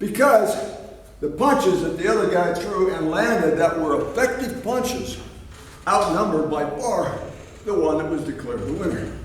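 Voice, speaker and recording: A man speaks at a moderate pace in a high voice with lively intonation. Noticeable background noise runs under the recording. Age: 70s. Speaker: fitness trainer and boxing coach. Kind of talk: instructional training video talk.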